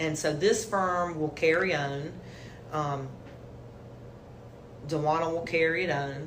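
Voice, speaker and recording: A woman's very deep, low voice in a Southern US accent, fairly even in intonation, at a fairly slow pace with long, frequent pauses and audible room echo. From South Carolina, Hartsville. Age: 60s. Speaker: lawyer. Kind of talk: interview.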